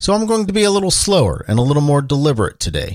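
A man with a Midwestern American accent, recorded dry and close with no echo, very clean, against a silent background. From Ohio, Cincinnati. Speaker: podcast host. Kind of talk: solo podcast monologue. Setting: home studio. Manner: deliberately slowed pace; filler words (um, uh).

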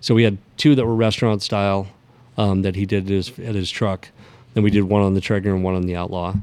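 Speaking at a very fast pace, a man keeps a fairly low pitch and fairly even intonation. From northern New Mexico. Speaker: barbecue supply store owner. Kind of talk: casual interview. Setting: in his store.

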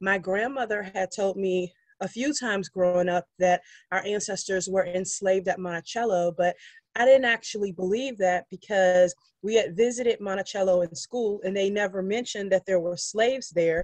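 A woman's normal speaking voice with a medium pitch, ordinary pitch variation, moderate pace and a dry, close sound with no echo. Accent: American. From Charlottesville, Virginia. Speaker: descendant of enslaved laborers, interviewee. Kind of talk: interview.

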